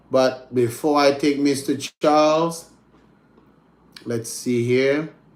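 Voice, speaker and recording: A man at a very slow pace with long, frequent pauses, fairly high in pitch and monotone, flat in intonation. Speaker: English teacher. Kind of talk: online class. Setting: video call.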